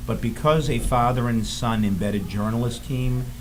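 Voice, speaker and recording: A man speaks at a moderate pace with a Boston accent, his voice carrying audible room echo over noticeable background noise. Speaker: filmmaker. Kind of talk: interview. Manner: halting.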